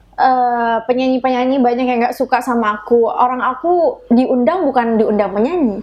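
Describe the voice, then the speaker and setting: High pitch from a woman, ordinary pitch variation, and a fairly slow pace. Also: very even loudness. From Madura, Indonesia. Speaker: singer. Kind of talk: interview chat.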